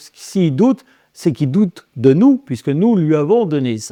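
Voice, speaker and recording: A man talks with very wide pitch swings in a dark, mellow tone. The recording is very clean, with a silent background and a dry, close sound with no echo. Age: 60s. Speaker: exorcist and medium. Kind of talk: interview. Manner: halting, many repetitions and fillers.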